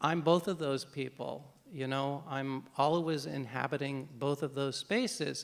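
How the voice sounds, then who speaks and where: The pace of this man's speech is very slow. He talks with an American accent. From United States. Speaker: novelist. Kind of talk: panel Q&A. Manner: halting, many repetitions.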